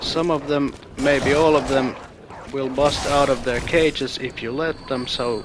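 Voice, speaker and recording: A man's fairly high-pitched voice with a non-native accent, flat monotone intonation and noticeable background noise. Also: fairly slow pace. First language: non-native English speaker. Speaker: video game let's player. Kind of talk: gameplay commentary. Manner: casual.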